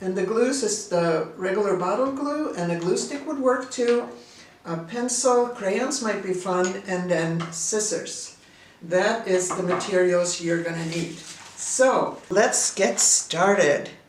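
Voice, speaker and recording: With a Swedish accent, a woman talks at a very slow pace and medium pitch with lively intonation, amid audible room echo and noticeable background noise. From Sweden. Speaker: artist and teacher. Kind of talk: tutorial.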